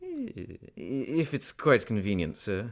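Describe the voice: On a very clean recording with a silent background, a man at medium pitch puts on a character voice, speaking at a slow pace with very wide pitch swings.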